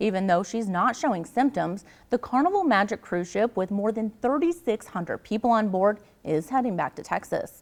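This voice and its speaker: A woman's fairly high voice with lively intonation at a moderate pace, an unremarkable speaking voice. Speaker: television news anchor and reporter. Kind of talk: TV news anchor delivery.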